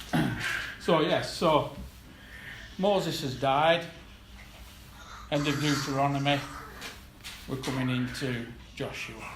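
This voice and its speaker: A man's fairly high-pitched voice at a fairly slow pace, with fairly even intonation and long, frequent pauses, amid noticeable background noise and audible room echo. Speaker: lay preacher. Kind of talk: sermon. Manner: soft-spoken; halting.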